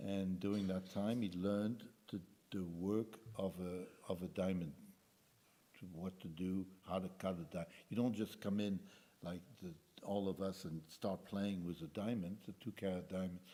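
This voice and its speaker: A man's very deep, low voice with a dark, mellow tone, monotone and flat in intonation, at a moderate pace. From Belgium. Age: 80s+. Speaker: Holocaust survivor speaker. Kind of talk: testimony. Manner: halting.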